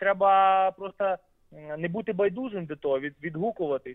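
At a moderate pace, a man talks in a high register for a male speaker. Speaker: singer and composer. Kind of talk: radio interview. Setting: phone call.

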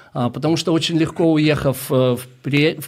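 A man talks at a moderate pace. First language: Russian (speaking Ukrainian). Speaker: missionary, ministry leader. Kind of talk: radio interview. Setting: radio studio.

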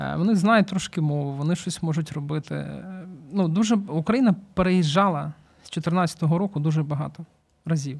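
With a plain, everyday voice, a man speaks at a moderate pace, his fairly high pitch moving with ordinary variation. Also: very clean recording, silent background. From Ukraine, Kyiv. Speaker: volunteer, charity founder. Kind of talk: interview.

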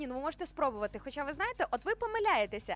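This woman speaks with a high pitch. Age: 30s. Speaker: radio host. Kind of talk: morning radio show.

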